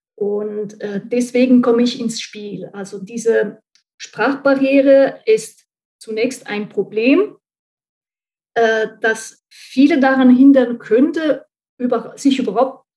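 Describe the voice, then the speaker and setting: A woman's fairly high, dark, mellow voice in an Italian accent, very slow, with long, frequent pauses, big swings in loudness and ordinary pitch variation. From central Italy. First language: Italian (speaking German). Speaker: translator and marketing consultant. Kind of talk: interview.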